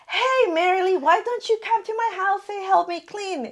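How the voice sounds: Putting on a squeaky character voice with a Southern US accent, a woman reaches an extremely high pitch at a moderate pace, her loudness swinging widely. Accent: southern American.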